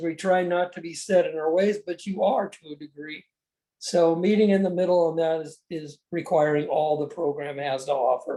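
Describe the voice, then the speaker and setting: The tone is dark and mellow, and the pitch varies in an ordinary way. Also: man. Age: 70s. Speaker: recovery program member sharing. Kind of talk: testimony.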